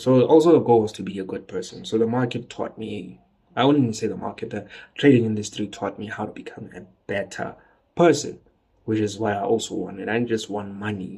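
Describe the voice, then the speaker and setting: Somewhat breathy, a man speaks fairly quickly at medium pitch with ordinary pitch variation. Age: 20s. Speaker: trader. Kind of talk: casual monologue. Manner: casual.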